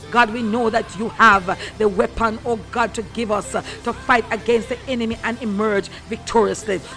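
Music in the background beneath speech at a moderate pace. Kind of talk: fervent prayer. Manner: fervent, rhythmic, repeating hallelujah with rising intensity.

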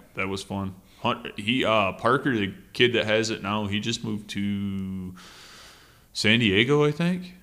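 On a very clean recording with a silent background, a man with an Upper Peninsula Michigan accent speaks fairly slowly at a fairly low pitch, with ordinary pitch variation. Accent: Michigan Upper Peninsula (Yooper). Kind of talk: casual chat. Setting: studio.

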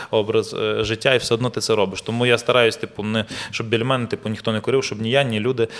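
Over noticeable background noise, a man at a medium pitch talks at a very fast pace. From Ukraine. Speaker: actor and model. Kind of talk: casual chat. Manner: animated storytelling.

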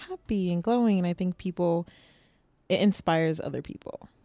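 A woman's dark, mellow tone with an American accent, at a fairly quick pace. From Boston. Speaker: podcast co-host. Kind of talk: casual chat. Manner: animated.

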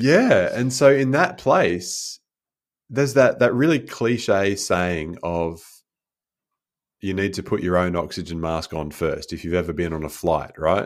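On a very clean recording with a silent background, a man speaks at a fairly slow pace and fairly low pitch, with lively intonation. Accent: Australian. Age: 40s. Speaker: life coach and speaker. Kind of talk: podcast interview.

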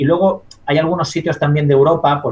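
A man's voice comes across as somewhat breathy. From Spain, La Mancha. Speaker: dietitian-nutritionist and science communicator. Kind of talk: interview.

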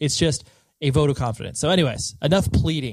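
Very fast and with ordinary pitch variation, a man delivers his words. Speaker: podcast host. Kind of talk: solo host monologue; casual interview chat. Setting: home recording room; guest's house. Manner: loud.

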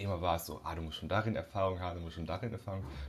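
A man talks in a fairly low pitch with a somewhat breathy voice. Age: 20s. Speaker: audio and video producer, entrepreneur. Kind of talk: casual interview.

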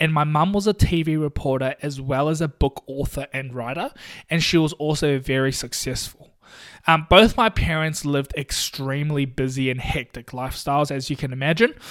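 On a very clean recording with a silent background, a man with a New Zealand accent speaks at a moderate pace, fairly high in pitch with ordinary pitch variation. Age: 20s. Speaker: podcast host and physiotherapist. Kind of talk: casual solo podcast monologue.

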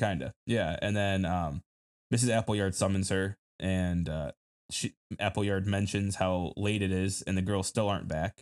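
In a Michigan accent, a man speaks at a very deep, low pitch and a fairly slow pace with fairly even intonation. The recording is very clean, with a silent background and a dry, close sound with no echo. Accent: Midwestern American (Michigan). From Detroit downriver area, Michigan. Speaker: film podcast co-host. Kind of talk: casual chat.

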